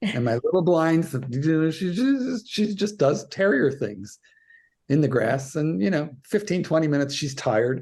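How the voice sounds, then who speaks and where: A man talks with a fairly high pitch. His voice swings very widely up and down. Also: moderate pace. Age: 60s. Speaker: dog trainer and author. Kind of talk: podcast interview.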